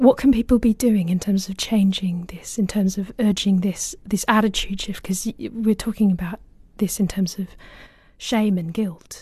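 Spoken with a British accent at a moderate pace, this voice comes over a quiet background. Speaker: books podcast co-host, interviewer. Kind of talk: interview. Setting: studio.

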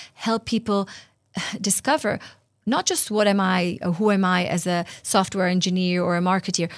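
Here a woman talks at a moderate pace and a medium pitch. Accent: Israeli. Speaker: interview guest, workplace culture leader.

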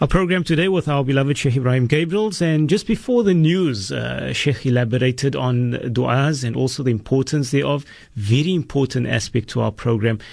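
With hardly any pauses, a man at medium pitch talks with lively intonation over noticeable background noise. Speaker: radio host. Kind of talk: radio presenting. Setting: radio studio. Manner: warm, formal.

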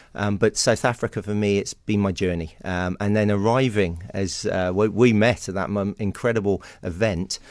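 Against a quiet background, a man with an English accent and a fairly low pitch speaks at a moderate pace with hardly any pauses. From England, Somerset (West Country). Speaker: historian and author. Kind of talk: radio interview. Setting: radio studio. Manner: animated.

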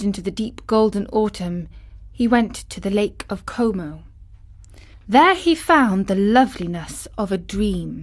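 Her intonation is lively. The woman's voice has a somewhat breathy quality. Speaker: audiobook narrator. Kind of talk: literary audiobook reading, measured storyteller narration of a classic novel. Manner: smooth, unhurried, expressive storytelling pace.

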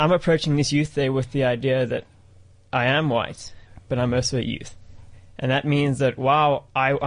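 A man's medium-pitched, monotone delivery at a fairly quick pace. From South Africa. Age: 20s. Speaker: student. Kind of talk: studio discussion.

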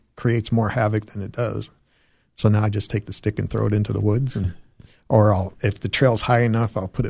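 A man with an American accent speaks in a fairly low pitch with a dark, mellow tone and a somewhat breathy quality. His intonation is monotone and flat, against a quiet background. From Arizona. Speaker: hiking club chairperson. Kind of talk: radio interview.

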